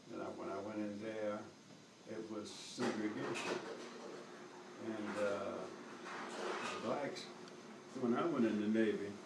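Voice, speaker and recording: A man with an American accent speaks at a fairly slow pace, leaving long, frequent pauses over loud background noise. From North Carolina, US. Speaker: war veteran. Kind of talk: interview answer. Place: home room. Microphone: camera far.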